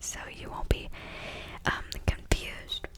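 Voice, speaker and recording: Noticeable background noise sits behind a whispered voice. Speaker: ASMR creator. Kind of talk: casual ASMR intro talk.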